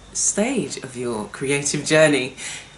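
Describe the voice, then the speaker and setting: Noticeable background noise is present as a woman speaks. Audible room echo colors the sound. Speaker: art workshop host. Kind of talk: casual talk-to-camera presentation. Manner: relaxed, conversational with hesitations.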